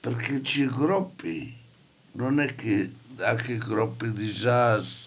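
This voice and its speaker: Here is a man with a medium pitch. He talks at a very slow pace. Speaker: community radio participant. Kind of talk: casual chat.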